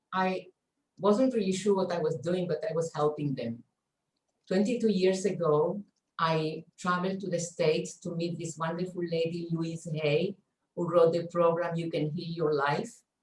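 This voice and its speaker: A somewhat breathy woman's voice, fairly low in pitch, with fairly even intonation. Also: moderate pace. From Chile. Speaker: stress coach. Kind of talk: online workshop talk. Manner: halting.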